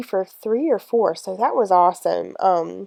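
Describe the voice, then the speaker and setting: Recorded with a dry, close sound and no echo, a woman talks at a fairly slow pace. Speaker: fitness vlogger. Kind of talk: workout video commentary.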